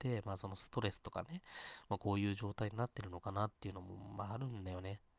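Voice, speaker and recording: The speech rushes along at a very fast pace with fairly even intonation, recorded in a dry, close sound with no echo. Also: man. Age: 30s. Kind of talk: casual solo talk stream. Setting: live stream, solo. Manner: rambling, filler-heavy.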